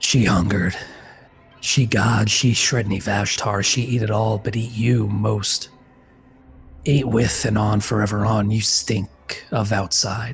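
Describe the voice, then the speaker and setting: A man puts on a raspy character voice at a fairly low pitch and a fairly slow pace. His intonation is fairly even, the loudness very even, with faint music in the background. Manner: whispering, clipped and clumsy diction.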